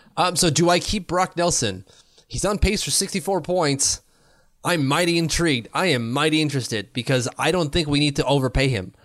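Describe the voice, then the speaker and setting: With a Canadian accent, a man talks fairly quickly in a fairly high pitch, showing vocal fry and lively intonation. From Ottawa, Canada. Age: 30s. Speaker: hockey podcast co-host. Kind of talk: casual chat.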